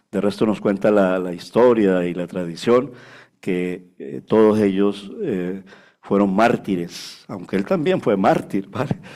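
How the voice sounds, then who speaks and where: Very slowly, a man speaks in a fairly low pitch with a dark, mellow tone. The recording is very clean, with a silent background. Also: ordinary pitch variation. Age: 60s. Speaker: pastor. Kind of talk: sermon. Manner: conversational, frequent filler 'vale'.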